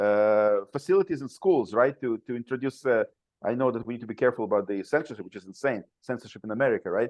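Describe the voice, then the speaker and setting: Speaking very fast with a non-native accent, a man at a medium pitch swings widely in loudness. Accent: foreign. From Soviet Union. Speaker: father's rights activist, former attorney. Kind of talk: podcast interview. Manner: halting, many repetitions and fillers.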